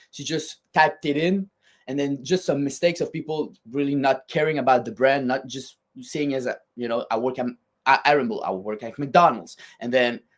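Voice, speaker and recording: Speaking with a strong French Canadian accent, a man talks at a moderate pace in a fairly high pitch with ordinary pitch variation. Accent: thick French-Canadian. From Quebec, French Canada. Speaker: fitness equipment company designer. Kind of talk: podcast interview. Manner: words run together.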